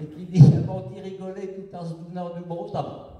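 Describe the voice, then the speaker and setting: A man with a high pitch and a fairly slow pace. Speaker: storyteller in regional dialect. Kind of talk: comic folk tale told on stage. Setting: live stage performance.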